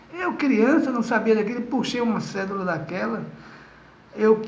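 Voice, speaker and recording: A man's high-pitched voice with ordinary pitch variation, a moderate pace and audible room echo. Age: 60s. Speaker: spiritist lecturer. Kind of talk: lecture; testimony.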